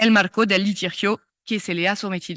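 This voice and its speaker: A woman with a French accent talks at a fairly slow pace with ordinary pitch variation. The sound is dry and close with no echo, over a quiet background. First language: French (speaking Spanish). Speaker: law professor. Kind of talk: lecture. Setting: conference stage. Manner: reading from notes, halting.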